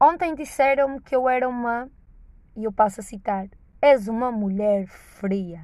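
A woman's voice has a dark, mellow tone and fairly high pitch. She speaks at a fairly slow pace with lively intonation. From northern Portugal. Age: 20s. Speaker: podcaster. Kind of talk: casual monologue. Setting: in a car. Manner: animated.

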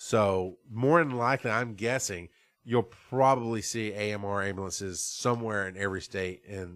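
A fairly low-pitched man with an American accent at a moderate pace. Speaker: podcast host on emergency medical services. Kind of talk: solo casual talk show. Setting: side studio. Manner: halting, many fillers.

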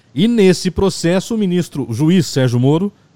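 Dark, mellow tone with very wide pitch swings. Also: man. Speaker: podcast host. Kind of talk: casual political discussion.

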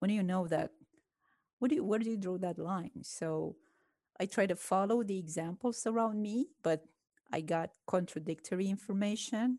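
A woman with a dark, mellow tone speaks at a moderate pace and medium pitch with ordinary pitch variation and long, frequent pauses. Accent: Romanian. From Romania. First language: Romanian. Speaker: chemistry professor. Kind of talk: interview conversation.

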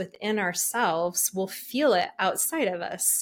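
The speaker is a woman with an American accent. She goes at a very slow pace. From Utah, Salt Lake City. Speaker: shamanic energy healer. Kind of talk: interview conversation.

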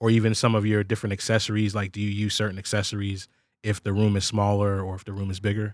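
A man talks at a very fast pace with a fairly low pitch. His intonation is monotone and flat, on a very clean recording with a silent background. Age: 30s. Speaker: sample pack company podcast host. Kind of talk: casual interview.

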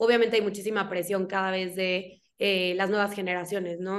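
The speaker is a woman with a medium pitch. She moves along at a fairly quick clip. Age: 20s. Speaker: podcast host. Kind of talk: casual interview chat.

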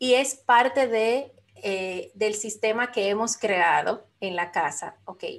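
Against a quiet background, the speaker talks at a very slow pace with ordinary pitch variation. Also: woman, fairly high pitch for a woman. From Dominican Republic. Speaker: life coach and business mentor. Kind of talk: interview.

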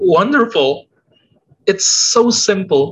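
A man's bright, sharp tone at a very slow pace. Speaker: comics podcast co-host. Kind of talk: casual chat. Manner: animated.

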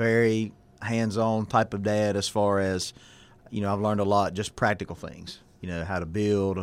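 A man's very deep, low voice with a Southern US accent, on a very clean recording over a silent background. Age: 40s. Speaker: pastor. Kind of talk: casual chat.

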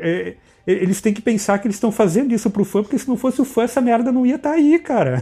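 A man speaks in a dark, mellow tone with very wide pitch swings against a quiet background. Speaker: podcast host. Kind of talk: casual chat.

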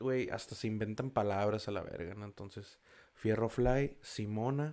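A man with a dark, mellow tone talks at a moderate pace and ordinary pitch variation. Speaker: podcast host. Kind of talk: casual monologue. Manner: casual, slangy and animated.

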